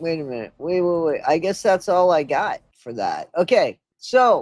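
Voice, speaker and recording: A woman talks at a fairly slow pace with a fairly low pitch and lively intonation. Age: 60s. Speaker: YouTuber commenting on videos. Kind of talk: live stream commentary. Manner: casual, profane.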